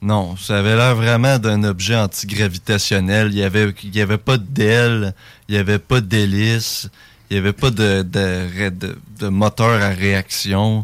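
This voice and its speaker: A man with a Quebec accent talks at a fairly slow pace in a fairly low, monotone, flat voice. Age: 20s. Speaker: UFO witness. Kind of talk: testimony. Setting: studio.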